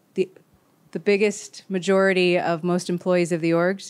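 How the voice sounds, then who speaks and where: In a very clean recording against a silent background, a woman moves along at a moderate pace. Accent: Californian. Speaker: organizational coach. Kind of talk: panel discussion.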